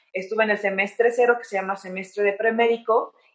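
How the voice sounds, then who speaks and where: Her intonation is monotone and flat. The woman talks at a very fast pace. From Mexico, San Luis de la Paz, Guanajuato. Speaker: orthopedic surgeon and athlete. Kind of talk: interview.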